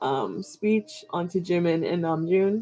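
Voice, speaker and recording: Medium pitch and a dark, mellow tone from a woman. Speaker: K-pop reaction vlogger. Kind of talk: casual vlog monologue. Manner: hesitant, many fillers.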